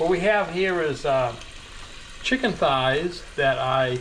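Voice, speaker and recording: At a very slow pace, a man with a fairly high pitch uses lively intonation, with audible room echo and noticeable background noise. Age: 70s. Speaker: home cooking channel host. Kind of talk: cooking tutorial. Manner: casual, relaxed with fillers.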